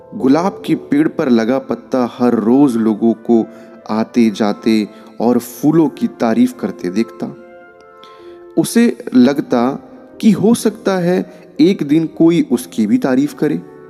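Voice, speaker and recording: A medium-pitched male voice with very wide pitch swings and long, frequent pauses, over music in the background. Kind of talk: motivational story narration.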